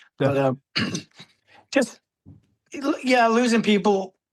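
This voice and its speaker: The speaker is loud, with lively intonation. The pace is fairly slow. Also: man. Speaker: Marine veteran. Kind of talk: casual chat.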